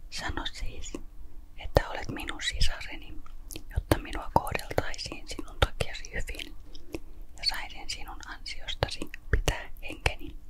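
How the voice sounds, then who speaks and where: Noticeable background noise surrounds very slow, whispered speech. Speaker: ASMR Bible reader. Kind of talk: Bible reading, ASMR-style. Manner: quiet, whispered.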